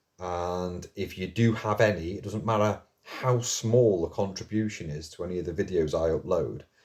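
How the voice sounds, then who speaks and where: Ordinary pitch variation in a somewhat breathy voice. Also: man. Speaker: mental health video blogger. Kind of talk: casual monologue to camera. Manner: slightly slurred.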